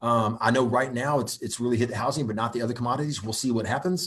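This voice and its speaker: A man's medium-pitched, energetic voice at a fairly quick pace, with ordinary pitch variation, in a very clean recording with a silent background. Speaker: real estate investment company executive hosting live Q&A. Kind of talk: live Q&A. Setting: livestream. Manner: fast.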